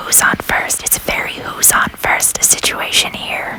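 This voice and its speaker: A very slow whisper against noticeable background noise. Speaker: whispering ASMR walking-tour host. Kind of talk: whispered ASMR history narration outdoors. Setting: outdoors on a city street with ambient noise. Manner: whispered, humorous.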